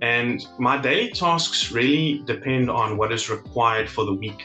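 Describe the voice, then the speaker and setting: Faint music plays behind a man speaking at a fairly slow pace with ordinary pitch variation. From South Africa. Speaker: legal assistant. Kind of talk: interview answer. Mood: positive, appreciative. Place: home room. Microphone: webcam.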